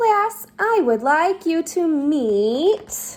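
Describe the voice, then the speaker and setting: This woman uses a put-on character voice that is squeaky and extremely high-pitched. Her pitch swings very widely. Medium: read story.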